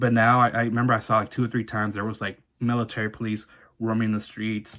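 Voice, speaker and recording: This man speaks with a Southern California accent at a medium pitch. His tone is bright and sharp, and his intonation is monotone and flat. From Orange County, California (born in Mexico, arrived at age one). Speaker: vlogger sharing immigrant life story. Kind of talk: personal testimony monologue. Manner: fast, halting with false starts.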